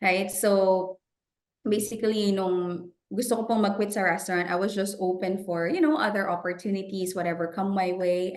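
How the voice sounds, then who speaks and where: There is audible room echo around this woman's voice. Her pitch varies in an ordinary way. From Philippines (Bulacan). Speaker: financial professional. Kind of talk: interview in Taglish. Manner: casual, code-switching.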